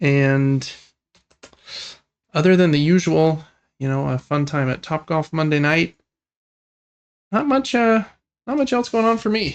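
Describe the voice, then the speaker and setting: Fairly slow delivery broken by long, frequent pauses. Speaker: podcast host. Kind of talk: casual chat.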